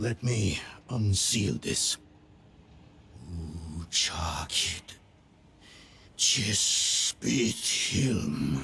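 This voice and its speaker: A man's put-on character voice, very deep and low, growling at a very slow pace with very wide pitch swings and long, frequent pauses. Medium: video game. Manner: dry, clipped, wry.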